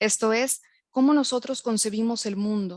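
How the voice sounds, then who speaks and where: Over a quiet background, a woman talks at a moderate pace with fairly high pitch and fairly even intonation, the sound dry and close with no echo. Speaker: university lecturer and researcher. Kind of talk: lecture. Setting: online webinar.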